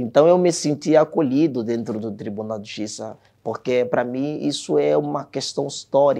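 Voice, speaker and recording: Very wide pitch swings and big swings in loudness in a dark, mellow tone, at a moderate pace over a quiet background. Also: man, medium pitch for a man. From Angola, Luanda; Angola. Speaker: court employee. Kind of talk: testimony. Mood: earnest, reflective. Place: studio. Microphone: lapel.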